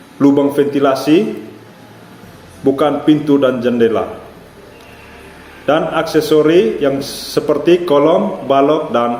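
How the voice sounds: Slow and slightly mellow, a man speaks at a medium pitch with ordinary pitch variation amid audible room echo.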